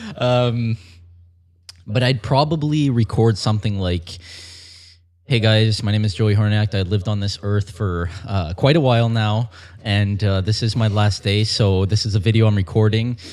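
In a very clean recording with a silent background, a man with a plain, everyday voice speaks at a moderate pace, fairly low in pitch with ordinary pitch variation. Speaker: fitness model and personal trainer. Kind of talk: casual interview.

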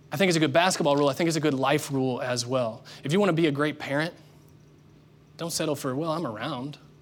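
A man talks at a very fast pace in a fairly high voice. His pitch varies in an ordinary way, and the room echo is audible. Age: 30s. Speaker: pastor. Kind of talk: sermon.

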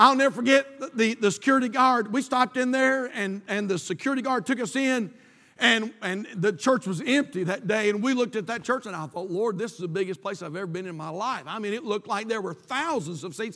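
A man with an American accent speaks in a raised, projected voice at a high pitch and a fairly quick pace. His tone is bright and sharp, his intonation lively. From North Carolina. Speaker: pastor. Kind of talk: sermon. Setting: church. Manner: halting, many fillers and repetitions.

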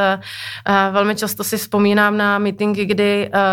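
A woman talks at a moderate pace and a medium pitch. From Moravia, Czechia. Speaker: telecom business executive. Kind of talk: interview. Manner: halting.

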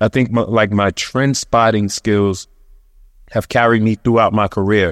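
Recorded dry and close with no echo, a man with an unremarkable speaking voice talks at a fairly low pitch and a moderate pace. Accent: American. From Brooklyn, New York. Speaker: magazine editor turned TV producer. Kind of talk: panel discussion.

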